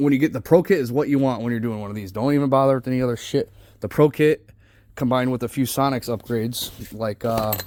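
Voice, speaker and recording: A man talks at a very fast pace. His medium-pitched voice has ordinary pitch variation. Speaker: transmission builder. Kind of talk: tutorial. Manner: casual, profane.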